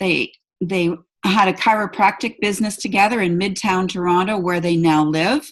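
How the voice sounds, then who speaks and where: In a normal speaking voice of medium pitch, a woman talks at a fairly slow pace against a quiet background. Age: 60s. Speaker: event host. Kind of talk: online presentation.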